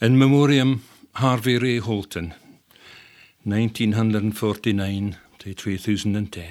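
In a Scottish accent, a man with a fairly low pitch speaks at a fairly slow pace with ordinary pitch variation, big swings in loudness and long, frequent pauses, on a very clean recording with a silent background. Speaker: poet and translator. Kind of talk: interview and poetry reading. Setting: studio. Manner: wry, humorous.

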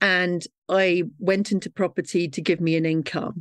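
A woman at medium pitch speaks at a moderate pace in an unremarkable speaking voice. The sound is dry and close with no echo, over a quiet background. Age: 50s. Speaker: property investor and landlord. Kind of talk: interview.

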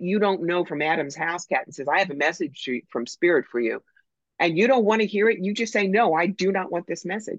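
At a fairly quick pace, a plain, everyday voice with ordinary pitch variation is captured with a dry, close sound and no echo. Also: woman. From New York. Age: 60s. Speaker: psychic medium. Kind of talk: casual interview chat.

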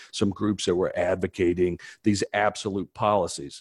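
A plain, everyday voice speaks at a fairly slow pace, the sound dry and close with no echo. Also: man. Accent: American. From US, small town. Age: 50s. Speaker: former police officer. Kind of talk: casual chat.

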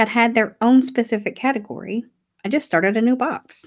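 In a Southern US accent, a woman speaks at fairly high pitch with ordinary pitch variation. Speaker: declutter podcast host. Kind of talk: casual solo podcast talk. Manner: animated. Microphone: new podcast microphone.

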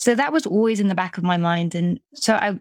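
A woman with a British accent at medium pitch, with ordinary pitch variation, a fairly quick pace, and a dry, close sound with no echo on a very clean recording with a silent background. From UK. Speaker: business coach. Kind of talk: casual interview chat.

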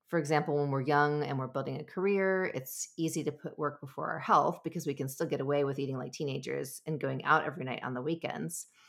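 A woman with an American accent talks at a fairly quick pace in a very deep, low voice with ordinary pitch variation. The recording is very clean, with a silent background. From US, Southern California. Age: 40s. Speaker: nutrition coach and podcast host. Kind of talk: casual solo monologue.

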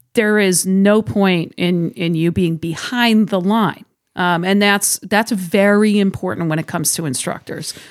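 A woman with an American accent and medium pitch talks at a fairly slow pace with hardly any pauses and ordinary pitch variation, in an unremarkable speaking voice on a very clean recording with a silent background. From Massachusetts, South Shore. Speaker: firearms industry marketing director and instructor. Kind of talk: casual interview. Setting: studio.

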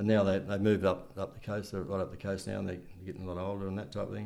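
Delivered very fast in a flat monotone, the speech has an Australian accent and audible room echo. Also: man. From Wollongong area, New South Wales, Australia. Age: 70s. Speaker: retired amateur football coach and club volunteer. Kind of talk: interview, casual reminiscing. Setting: at home. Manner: halting, repeats words.

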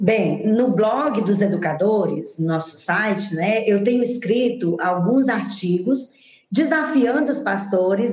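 Over noticeable background noise and audible room echo, a woman with a fairly high voice speaks at a fairly slow pace with hardly any pauses, ordinary pitch variation and very even loudness. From Brazil, Teresina, Piauí. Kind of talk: interview.

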